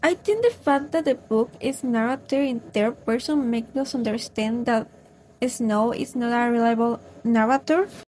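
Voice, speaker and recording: The speaker has a Spanish accent, a moderate pace and ordinary pitch variation. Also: woman, high pitch for a woman. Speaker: book vlogger. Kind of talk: casual book review vlog.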